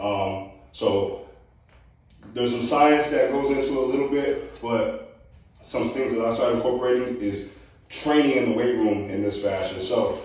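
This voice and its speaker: There is strong room echo around this man's voice. He goes at a moderate pace with ordinary pitch variation. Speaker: strength coach. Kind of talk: tutorial feedback. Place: garage. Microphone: camera far.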